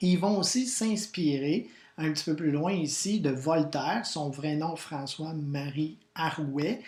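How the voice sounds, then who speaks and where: Very slow delivery in a Quebec accent. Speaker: history teacher. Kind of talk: educational video lesson. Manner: animated.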